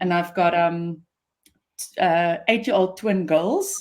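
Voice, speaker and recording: Speaking at a very slow pace, a woman with an Afrikaans accent uses a fairly low pitch and fairly even intonation. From South Africa, Pretoria. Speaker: business founder and CEO. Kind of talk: interview.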